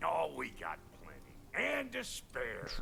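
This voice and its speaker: Against clear background noise, a raspy, put-on character voice speaks at a fairly slow pace. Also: man. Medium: video game. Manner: gruff, streetwise.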